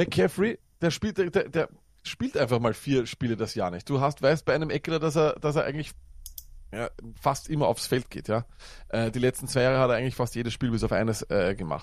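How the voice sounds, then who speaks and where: With lively intonation and a Viennese accent, a man talks at a fairly quick pace and a medium pitch. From Austria, Vienna. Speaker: fantasy football podcaster. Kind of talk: casual chat. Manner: talkative, fast.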